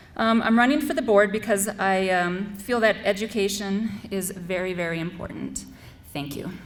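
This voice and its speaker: At a moderate pace, a woman speaks in an unremarkable speaking voice with medium pitch and ordinary pitch variation. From US Midwest, North Dakota. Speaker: school board candidate, Air Force veteran. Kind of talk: candidate forum speech. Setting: school forum with student audience.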